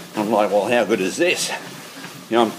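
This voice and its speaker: A man with an Australian accent and medium pitch, amid noticeable background noise and audible room echo. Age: 60s. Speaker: podcast host and amateur kickboxer. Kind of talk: casual monologue. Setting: on a treadmill in a shed.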